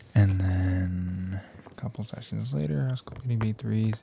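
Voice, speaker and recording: The speaker is soft-spoken, with a relaxed tone. Noticeable background noise runs underneath. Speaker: ASMR creator. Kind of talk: ASMR trigger assortment, casual talk to camera. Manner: soft-spoken, relaxed.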